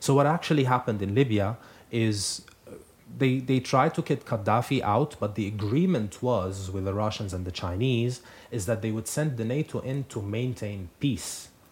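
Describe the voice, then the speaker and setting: At a moderate pace, a man with an Arabic accent talks in a somewhat breathy voice with ordinary pitch variation. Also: medium pitch for a man. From Syria, Aleppo. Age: 20s. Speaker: graduate student. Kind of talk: radio interview. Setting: radio studio.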